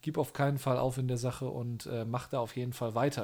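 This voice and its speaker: This man's voice is medium in pitch and somewhat breathy. He speaks at a moderate pace with a monotone, flat intonation. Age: 30s. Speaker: podcast co-host, youth leader. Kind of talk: casual chat.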